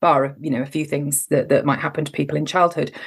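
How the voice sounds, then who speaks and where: A woman's voice with fairly even intonation. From southern and northern England. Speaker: lawyer and coach. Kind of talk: interview.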